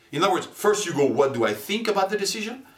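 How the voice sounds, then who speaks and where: A man is talking. Noticeable noise sits in the background. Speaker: marketing and neuromarketing presenter. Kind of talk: corporate promo presentation. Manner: clear, explanatory.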